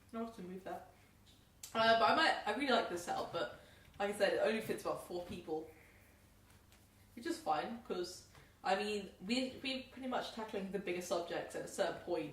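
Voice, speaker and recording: Amid noticeable background noise and audible room echo, a woman speaks very fast in an animated tone at a fairly high pitch, her intonation lively, her loudness swinging widely, with long, frequent pauses. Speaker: podcast host. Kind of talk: casual chat. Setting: home podcast setup with microphones.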